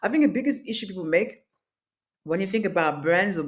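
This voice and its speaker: Very fast and with very wide pitch swings, a woman speaks with a French accent. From France, Paris. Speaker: masterclass instructor, business owner. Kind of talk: online workshop.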